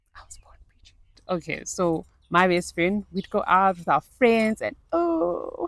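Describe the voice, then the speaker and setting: A woman's animated tone at a fairly slow pace, with big swings in loudness. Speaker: lifestyle vlogger. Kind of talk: casual vlog monologue. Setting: outdoors in nature.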